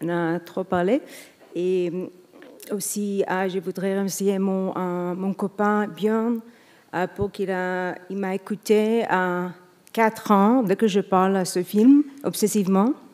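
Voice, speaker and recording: On a very clean recording with a silent background, a woman of medium pitch speaks with fairly even intonation and long, frequent pauses. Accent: non-native. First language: not French (speaking French). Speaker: film director, award winner. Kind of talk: acceptance speech. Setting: stage with audience. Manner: halting.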